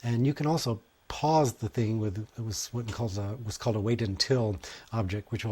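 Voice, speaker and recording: On a very clean recording with a silent background, a man with a medium pitch speaks at a fairly quick pace, his voice somewhat breathy. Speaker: music technology instructor. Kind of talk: tutorial. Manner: fast.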